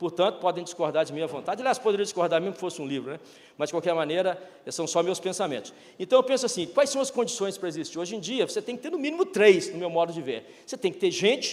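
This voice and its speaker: An animated tone with lively intonation at a very fast pace. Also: man. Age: 60s. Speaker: retired business executive, speaker. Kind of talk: keynote talk.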